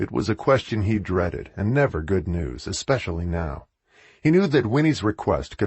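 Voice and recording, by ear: The background stays quiet. Over it, reading aloud happens in a natural voice.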